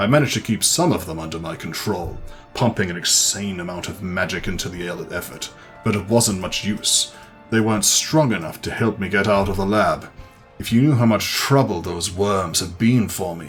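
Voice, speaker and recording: A man's put-on character voice, fairly low in pitch, at a moderate pace over clear background music. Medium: solo performance. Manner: nervous, rambling.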